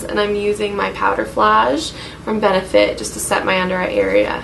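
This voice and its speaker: The speech comes at a moderate pace, with audible room echo and noticeable background noise. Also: woman. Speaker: beauty vlogger. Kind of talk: makeup tutorial. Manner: monotone; casual, hesitant with fillers.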